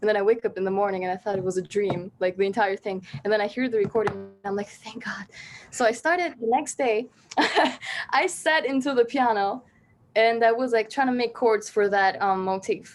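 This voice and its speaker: A woman talks in an Albanian accent at a fairly quick pace. Her pitch is fairly high, with ordinary variation. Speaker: singer-songwriter. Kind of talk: casual interview chat.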